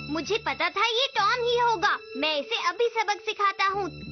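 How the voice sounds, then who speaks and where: Someone performs a put-on character voice. Clear background noise runs underneath. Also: moderate pace. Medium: fan dub.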